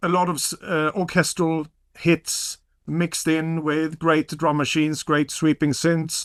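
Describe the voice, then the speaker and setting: Captured dry and close with no echo in a very clean recording with a silent background, a man with a Swedish accent speaks at a fairly slow pace in a fairly high pitch with monotone, flat intonation. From Sweden. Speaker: vinyl collector. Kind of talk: casual chat.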